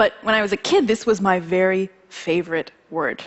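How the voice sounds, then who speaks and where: A woman speaks with an American accent. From US, Ethiopian American family. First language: Amharic. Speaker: singer-songwriter. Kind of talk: talk to audience.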